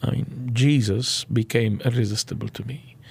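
A somewhat breathy voice at a moderate pace. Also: man. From Lebanon. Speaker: pastor and church planter. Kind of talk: interview. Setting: studio.

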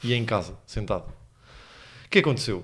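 The voice shows vocal fry and moves at a moderate pace. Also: man. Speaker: podcast co-host, comedian. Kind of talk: casual chat. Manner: animated.

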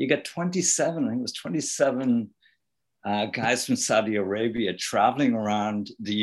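With an Irish accent, a man of medium pitch speaks at a fairly slow pace with lively intonation against a quiet background. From Ireland. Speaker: author and rock musician. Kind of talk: interview.

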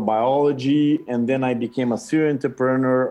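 This man has a Portuguese accent and a medium pitch. His tone is dark and mellow. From Brazil. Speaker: consultant and former tech entrepreneur. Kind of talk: interview. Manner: halting.

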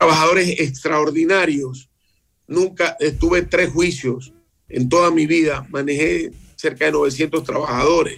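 A man with an unremarkable speaking voice talks at a fairly slow pace with fairly high pitch. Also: fairly even intonation, very even loudness. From Ecuador, Esmeraldas. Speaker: mayor. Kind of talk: radio interview.

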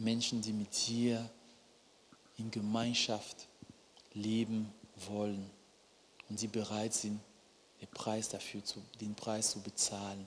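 Talking at a very slow pace with long, frequent pauses, a man with a fairly low pitch keeps a monotone, flat intonation. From Cameroon. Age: 30s. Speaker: preacher. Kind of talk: sermon.

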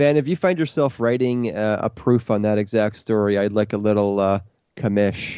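Fairly low in pitch, a man speaks at a moderate pace with a dark, mellow tone, ordinary pitch variation and very even loudness. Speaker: podcast co-host. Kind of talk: casual chat.

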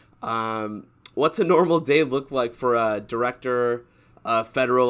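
Delivered at a moderate pace, it is an ordinary speaking voice. The background is silent on this very clean recording. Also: man. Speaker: podcast co-host. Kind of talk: casual podcast chat.

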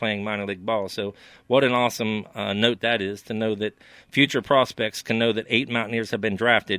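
This man has a normal speaking voice with an American accent. His pitch is medium and his pace fairly quick. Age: 50s. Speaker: sports podcast co-host. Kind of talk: casual sports talk.

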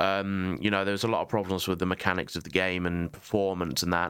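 A man's voice, very deep and low in pitch, carries fairly even intonation. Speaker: podcast host. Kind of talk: casual chat.

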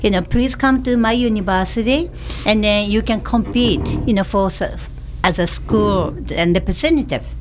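A woman talks at a moderate pace in a Japanese accent. Noticeable background noise and audible room echo are present. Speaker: personal trainer. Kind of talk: casual chat. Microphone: too far from the mic.

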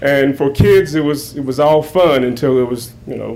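Noticeable background noise sits behind this man's voice. His pitch varies in an ordinary way. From Raleigh, North Carolina. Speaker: history professor and moderator. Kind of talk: moderating panel; lecture. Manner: halting, repeats words.

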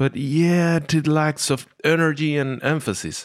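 The recording is very clean, with a silent background. A man speaks with a non-native accent. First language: not English. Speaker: podcast host and metal musician. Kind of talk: casual monologue. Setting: home recording, drinking beer.

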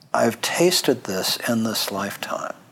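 Noticeable background noise sits behind the voice. A man talks at a very slow pace. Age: 60s. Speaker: cancer program director and interviewer. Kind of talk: interview conversation.

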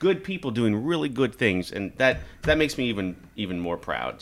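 The recording is very clean, with a silent background. A man with a Midwestern American accent speaks at a moderate pace with lively intonation. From US Midwest, Kansas. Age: 40s. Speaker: staffing company executive and video show host. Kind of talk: casual chat.

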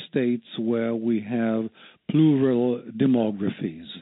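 This is a man's voice. He talks at a very slow pace. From West Berlin, Germany (born in Tel Aviv, Israel). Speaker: historian. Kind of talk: interview.

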